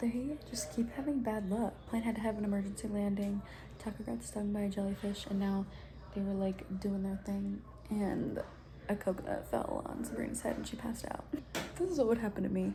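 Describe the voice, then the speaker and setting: Noticeable background noise runs under the recording. A woman talks at a fairly quick pace. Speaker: booktube reading vlogger. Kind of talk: casual reading vlog. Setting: at grandma's house. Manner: excited, animated; soft-spoken, talking quietly.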